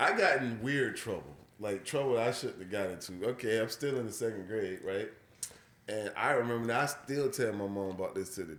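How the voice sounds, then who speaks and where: This man speaks with an American accent. Room echo is audible. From US deep South. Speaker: podcast host. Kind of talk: casual chat. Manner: animated.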